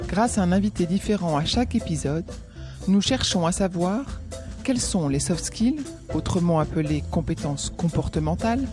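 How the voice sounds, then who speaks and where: A woman talks at a moderate pace with very even loudness. Music plays in the background. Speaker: podcast host. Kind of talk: podcast interviewer.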